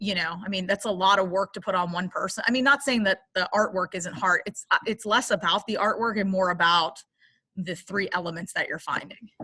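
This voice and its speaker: A woman talks at a fairly quick pace in a medium pitch, with ordinary pitch variation and a bright, sharp tone. The sound is dry and close, with no echo. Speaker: English teacher. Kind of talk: class instructions. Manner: fast.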